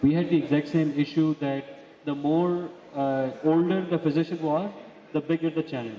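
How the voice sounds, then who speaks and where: A man speaks with fairly even intonation and a fairly high pitch. Noticeable background noise can be heard. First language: not English. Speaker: physician. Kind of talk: panel discussion. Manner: fast.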